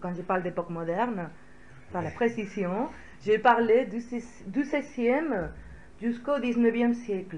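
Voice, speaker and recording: A woman's somewhat breathy, fairly high voice in a Spanish accent, fairly slow with long, frequent pauses and lively intonation, plus audible room echo. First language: Spanish (speaking French). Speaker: historian. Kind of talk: lecture. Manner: hesitant, many filler sounds.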